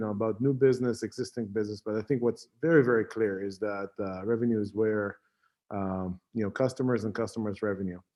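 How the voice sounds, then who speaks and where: A man with an Israeli accent at a fairly quick pace, with ordinary pitch variation. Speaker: tech company CEO and founder. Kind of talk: conference talk. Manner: halting, many fillers.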